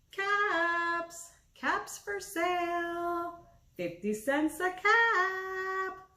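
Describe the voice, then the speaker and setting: Using a put-on character voice, a man speaks at an extremely high pitch at a very slow pace. His voice is squeaky. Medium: read story. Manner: scolding, finger-shaking.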